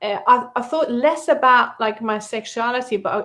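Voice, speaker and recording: A woman with a non-native accent at a moderate pace, her intonation lively. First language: not English. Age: 50s. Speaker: company founder and interviewer. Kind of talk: casual interview chat.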